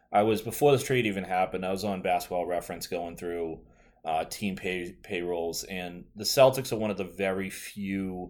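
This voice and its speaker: Someone with a Boston accent speaks at a moderate pace with ordinary pitch variation. The recording is very clean, with a silent background. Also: man. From Boston area, US. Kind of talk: casual chat. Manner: chatty, casual.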